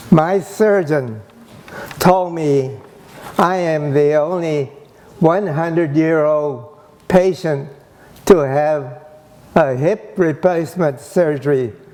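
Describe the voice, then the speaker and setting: Over noticeable background noise, a man with a fairly high pitch speaks at a very slow pace, with long, frequent pauses and ordinary pitch variation. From US West, Gridley, California. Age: 80s+. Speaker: internment survivor and speaker. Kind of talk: personal testimony talk.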